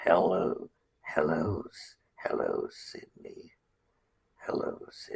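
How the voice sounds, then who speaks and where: A man puts on a character voice at an extremely high pitch. He goes at a very slow pace with long, frequent pauses. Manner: drawn out, creepy.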